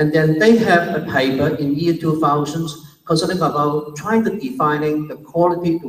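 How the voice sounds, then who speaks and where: Recorded with audible room echo, a man speaks at a fairly high pitch with ordinary pitch variation and a Chinese accent. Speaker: university academic, conference speaker. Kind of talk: conference presentation. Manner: slow, deliberate pace.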